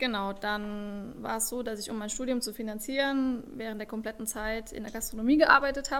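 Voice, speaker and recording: This is an ordinary speaking voice at a moderate pace with fairly even intonation. Its loudness swings widely from moment to moment. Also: woman. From Saarland, Germany. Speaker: startup founder. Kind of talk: interview.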